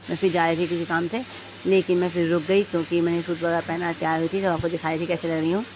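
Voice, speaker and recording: A woman rattles off her words very fast while background noise is noticeable. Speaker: vlogger. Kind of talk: vlog voice-over narration. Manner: casual, hesitant with fillers.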